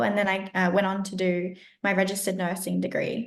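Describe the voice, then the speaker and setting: A woman speaks with an Australian accent. Her pitch is medium and her pace fairly quick. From Australia, rural Southeast Queensland. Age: 20s. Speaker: health coach and educator. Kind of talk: podcast interview.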